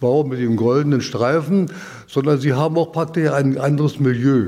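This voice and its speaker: This man's fairly high voice has a dark, mellow tone, ordinary pitch variation and a moderate pace. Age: 80s+. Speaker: retired transit mechanic and party veteran. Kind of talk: interview. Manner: halting, many fillers.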